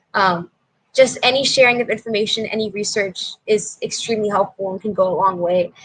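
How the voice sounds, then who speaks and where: This is a normal speaking voice with fairly even intonation. The pace is fairly quick. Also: woman, medium pitch for a woman. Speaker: hip hop dancer. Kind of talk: interview.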